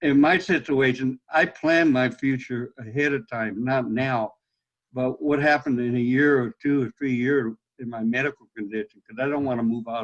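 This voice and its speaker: Recorded dry and close with no echo, a man with an American accent speaks at a medium pitch with fairly even intonation. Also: moderate pace. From US West, Los Angeles. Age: 60s. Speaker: blind veteran, webinar participant. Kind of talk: Q&A question on video call. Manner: halting.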